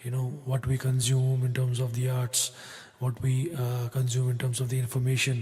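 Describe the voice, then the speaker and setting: A man's medium-pitched, somewhat breathy voice with a dark, mellow tone, monotone and flat in intonation, very even in loudness, at a moderate pace. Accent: Kashmiri. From Kashmir. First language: Kashmiri. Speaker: singer-songwriter. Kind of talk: spoken introduction between songs. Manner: halting, many fillers.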